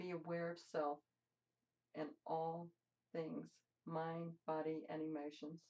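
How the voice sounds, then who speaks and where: Speaking at a fairly slow pace, a woman has a dark, mellow tone and a fairly low pitch. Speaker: meditation teacher. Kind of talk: guided meditation.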